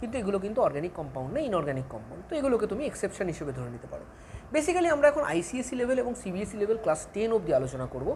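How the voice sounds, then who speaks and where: A woman's fairly high voice with very wide pitch swings and big swings in loudness, amid audible room echo and noticeable background noise. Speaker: chemistry teacher. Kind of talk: lecture.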